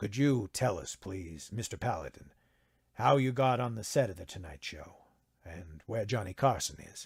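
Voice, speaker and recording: In a soft-spoken, put-on character voice, the speaker keeps a moderate pace with lively intonation. The loudness swings widely. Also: man, fairly low pitch for a man. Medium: read story. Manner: soft, polite.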